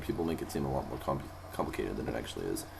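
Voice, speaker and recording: A man talking at a very fast pace, with audible room echo and noticeable background noise. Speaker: vocal tutorial youtuber. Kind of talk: tutorial. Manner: halting with many fillers.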